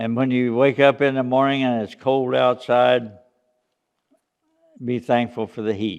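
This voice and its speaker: This man speaks at a fairly slow pace with long, frequent pauses. His pitch is medium and his intonation fairly even. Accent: Appalachian. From US South, East Tennessee (Smoky Mountains). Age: 80s+. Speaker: church senior speaking to children. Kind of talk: children's talk. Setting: church children's program. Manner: halting, with fillers.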